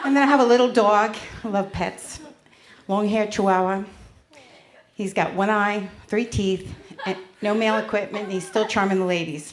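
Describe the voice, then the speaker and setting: With a US Northeastern accent, a woman talks at a moderate pace with ordinary pitch variation and long, frequent pauses, and audible room echo around her. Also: medium pitch for a woman. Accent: US Northeast. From Connecticut and New York, US Northeast. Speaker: stand-up comedian. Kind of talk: stand-up. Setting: stage with audience.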